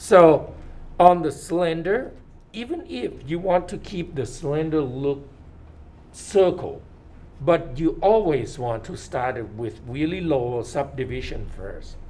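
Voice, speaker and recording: Audible room echo surrounds a man with a non-native accent who speaks at a very slow pace and a fairly high pitch, with lively intonation and big swings in loudness. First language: not English. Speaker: 3D modeling instructor. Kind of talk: lecture. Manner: halting.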